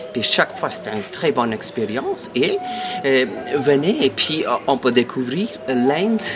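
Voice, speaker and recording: A man's voice with very wide pitch swings at a fairly slow pace, over noticeable background noise. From India. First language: an Indian language (speaking French). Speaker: tour guide. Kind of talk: interview, promotional. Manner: halting, many hesitations and repetitions.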